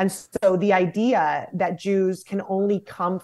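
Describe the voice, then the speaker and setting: A woman speaks in an unremarkable speaking voice at a medium pitch, with an American accent. The recording is very clean and the background silent. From United States. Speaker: nonprofit founder and director. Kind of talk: interview.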